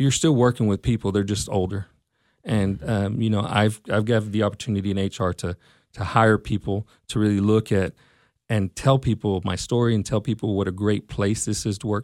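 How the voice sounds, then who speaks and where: Recorded very cleanly against a silent background, a man with a Texan accent talks at a moderate pace in a fairly low pitch with fairly even intonation. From Texas, Mesquite. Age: 40s. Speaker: school district personnel director. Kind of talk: interview.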